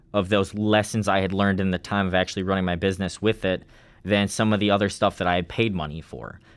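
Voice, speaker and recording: Fairly low in pitch, a man talks in an ordinary speaking voice with fairly even intonation. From US Midwest, rural Wisconsin. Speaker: food business founder. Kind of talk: interview.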